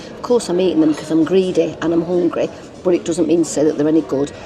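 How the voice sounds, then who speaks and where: Music plays in the background and room echo is audible. A woman speaks with a strong northern English accent at a fairly low pitch. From northern England. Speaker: travel vlogger. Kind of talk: casual chat. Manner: animated.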